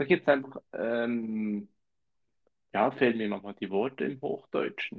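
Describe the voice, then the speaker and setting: A man at a medium pitch with ordinary pitch variation, speaking at a fairly slow pace with long, frequent pauses. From Switzerland, canton of Zurich. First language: Swiss German (speaking German). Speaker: podcast co-host. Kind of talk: casual chat.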